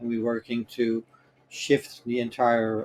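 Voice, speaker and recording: In a Dutch accent, a man speaks at a medium pitch. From Netherlands. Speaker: cloud infrastructure expert. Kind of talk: interview. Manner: hesitant, many fillers.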